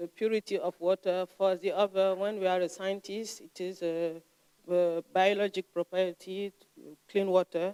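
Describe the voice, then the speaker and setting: A woman with a non-native accent speaks at medium pitch and a moderate pace in a monotone, flat intonation. Her tone is dark and mellow, and the sound is dry and close with no echo. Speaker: lecturer. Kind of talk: lecture. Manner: halting, frequent hesitations.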